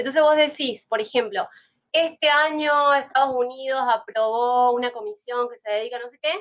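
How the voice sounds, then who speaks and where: A woman's high-pitched voice with a Rioplatense accent, ordinary pitch variation and big swings in loudness. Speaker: podcast host. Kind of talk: casual interview chat. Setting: live stream. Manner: fast.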